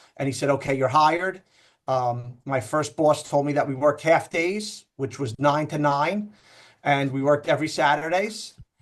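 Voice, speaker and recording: Over a quiet background, a man speaks in a New York accent at a moderate pace. His pitch is fairly high, with ordinary pitch variation. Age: 40s. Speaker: loan officer. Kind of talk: casual interview.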